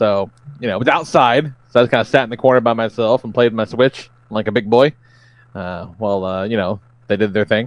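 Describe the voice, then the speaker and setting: An ordinary speaking voice from a man at medium pitch, fairly quick, with ordinary pitch variation and a dry, close sound with no echo. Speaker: podcast co-host. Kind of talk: casual banter. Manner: casual, profane.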